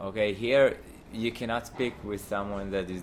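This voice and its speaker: Here a man with a fairly low voice speaks in an Israeli accent at a moderate pace. His intonation is monotone and flat. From Israel, Haifa. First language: Hebrew. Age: 20s. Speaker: university student. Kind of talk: interview. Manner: halting.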